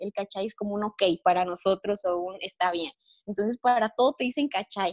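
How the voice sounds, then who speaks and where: A woman's ordinary speaking voice, fairly high in pitch, at a fairly quick pace with ordinary pitch variation and a dry, close sound with no echo. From Mexico, Guanajuato (Cortázar). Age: 20s. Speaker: recent university graduate, exchange student. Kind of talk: interview.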